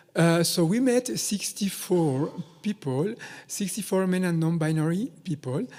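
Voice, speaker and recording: A man's high-pitched voice, dark and mellow in tone, at a fairly slow pace with lively intonation. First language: not English (English is third language). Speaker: researcher. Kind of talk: conference presentation. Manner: hesitant, many fillers.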